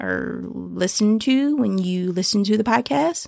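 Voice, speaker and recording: The recording is very clean, with a silent background and a dry, close sound with no echo. A woman speaks at a fairly slow pace. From US South, Atlanta, Georgia. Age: 30s. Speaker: podcast host. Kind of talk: casual monologue.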